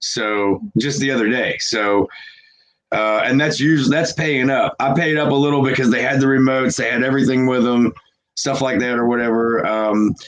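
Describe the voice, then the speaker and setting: With an ordinary speaking voice, a man speaks at a moderate pace in a medium pitch, with ordinary pitch variation and very even loudness. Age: 40s. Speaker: reseller. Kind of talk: casual chat.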